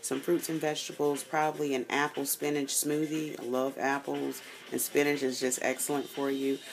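This woman's voice is very deep and low, with monotone, flat intonation. She keeps a moderate pace over light background noise. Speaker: fitness vlogger. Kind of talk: casual vlog chat. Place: home room. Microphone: phone near.

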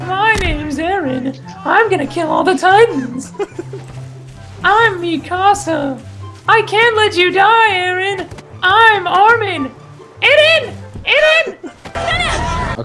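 Speech comes at a very slow pace with long, frequent pauses and an extremely high pitch. Clear music plays in the background. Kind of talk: comic overacting. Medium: machinima. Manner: melodramatic, declamatory.

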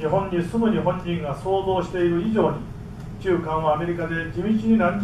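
Over noticeable background noise, a man speaks in a high voice with ordinary pitch variation. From Japan. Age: 60s. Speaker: professor. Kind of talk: lecture. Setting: stage with audience. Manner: formal. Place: hall.

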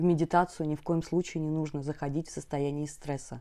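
Against a quiet background, a woman speaks with a very deep, low pitch and a dark, mellow tone, her intonation fairly even and her tone calm and soothing. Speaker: meditation teacher and hypnologist. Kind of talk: guided meditation instructions, explanatory talk. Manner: calm, soothing, warm; slow, gentle, reassuring. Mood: warm, calm. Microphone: lapel.

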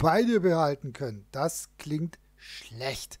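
On a very clean recording with a silent background, a man talks. His pace is very slow and his pitch swings very widely. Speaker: gaming video host. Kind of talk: let's play commentary. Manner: casual.

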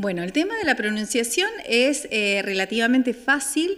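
The background is quiet as a woman speaks at a fairly slow pace. Her fairly high voice carries lively intonation. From Argentina, Santa Fe province (Franck). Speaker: German language teacher. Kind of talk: interview. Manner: hesitant, with many fillers. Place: hall.

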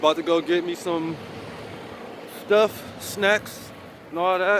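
A man speaks at a high pitch with fairly even intonation. The sound is dry with no echo, but background noise is noticeable. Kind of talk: casual vlog chat. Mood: relaxed, easygoing. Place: street. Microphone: phone near.

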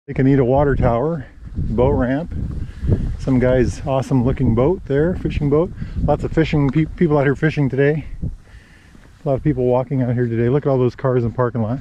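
This man talks at a fairly quick pace with very even loudness and fairly even intonation. The sound is dry with no echo, though noticeable background noise is present. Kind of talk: casual vlog chat. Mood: relaxed, cheerful. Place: waterside. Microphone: phone near.

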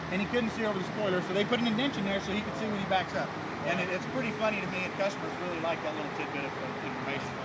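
Over loud background noise, a man speaks very fast with ordinary pitch variation. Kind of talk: product demonstration talk. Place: street. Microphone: phone near.

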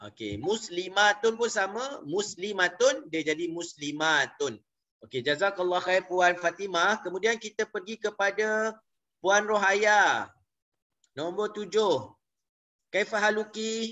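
Speaking at a very slow pace with a Malaysian accent, a man uses ordinary pitch variation in a high voice. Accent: Malaysian Malay. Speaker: Arabic language teacher. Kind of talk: online lecture. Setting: video call. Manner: halting, frequent fillers.

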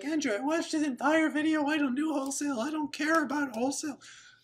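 A man speaks at a very fast pace in a put-on character voice. His pitch is extremely high. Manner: mocking, dismissive.

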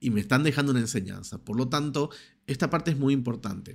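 Ordinary pitch variation shapes this man's speech. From Argentina. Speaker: personal development YouTuber. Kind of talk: motivational monologue to camera. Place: home room. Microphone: studio mic.

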